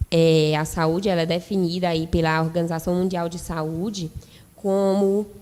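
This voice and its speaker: In a fairly low pitch, a woman speaks with monotone, flat intonation. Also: moderate pace. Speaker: nursing lecturer. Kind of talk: lecture.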